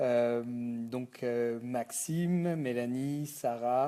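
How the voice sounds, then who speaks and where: The tone is dark and mellow, with fairly even intonation. The speaker has a Breton accent. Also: man. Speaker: company founder. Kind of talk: thank-you video message. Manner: halting, many fillers.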